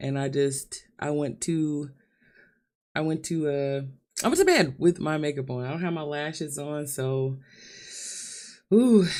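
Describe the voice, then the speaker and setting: Speaking at a fairly slow pace with long, frequent pauses, a woman has a very deep, low pitch and a dark, mellow tone. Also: ordinary pitch variation. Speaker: vlogger. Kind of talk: livestream monologue. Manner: emotional, halting.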